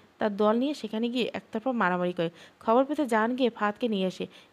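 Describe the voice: What you hear is plain reading aloud.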